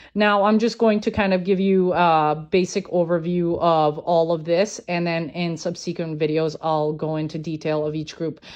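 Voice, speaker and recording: A woman with a non-native accent speaks at a fairly low pitch. Her intonation is fairly even, and she barely pauses. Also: moderate pace. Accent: non-native, mispronounces words. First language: not English. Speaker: conspiracy theory content creator. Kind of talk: informal explainer video. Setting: recorded social media video. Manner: hesitant, many filler ums.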